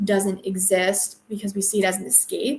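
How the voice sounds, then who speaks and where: Speaking at a fairly quick pace, a woman keeps a medium pitch in a monotone, flat intonation. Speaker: book podcaster. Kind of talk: solo book review. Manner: casual, with many filler ums.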